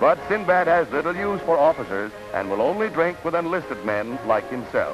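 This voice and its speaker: Clear music plays behind a man speaking at a high pitch and a moderate pace. His voice makes very wide pitch swings. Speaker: newsreel narrator. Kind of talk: 1940s newsreel narration. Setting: old archival recording. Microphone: old recording.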